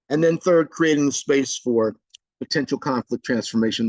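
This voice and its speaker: A man at medium pitch with an unremarkable speaking voice and lively intonation, in a dry, close sound with no echo against a quiet background. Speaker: trainer. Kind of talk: webinar presentation.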